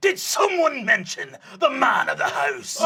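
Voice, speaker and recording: A put-on character voice is pitched extremely high. The tone is theatrical and the pace moderate. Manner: theatrical, boastful.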